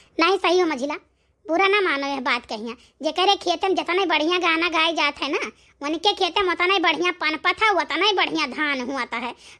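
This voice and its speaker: Using a cartoonish character voice, a woman talks at a moderate pace at an extremely high pitch. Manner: rambling, warm.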